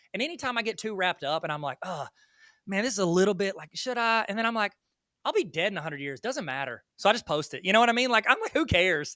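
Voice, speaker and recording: A man's very fast, raised and projected voice, high and bright with a sharp tone, animated and full of very wide pitch swings, in a strong Southern US accent on a very clean recording with a silent background. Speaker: educator and online video creator. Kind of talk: podcast interview. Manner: animated, high energy.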